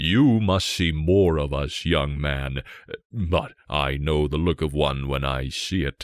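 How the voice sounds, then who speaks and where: A man's put-on character voice, very deep and low in pitch, with ordinary pitch variation and a fairly slow pace. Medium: read story.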